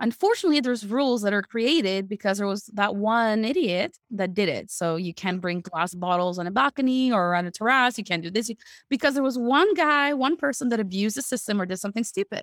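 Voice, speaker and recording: Fairly high-pitched, a woman rushes along at a very fast pace with hardly any pauses, her sound dry and close with no echo. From Canada (Quebec, Montreal). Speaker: email deliverability consultant. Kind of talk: interview conversation. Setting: video call. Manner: animated.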